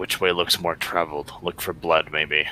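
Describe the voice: A man whispering in a put-on character voice at a moderate pace, with clear background noise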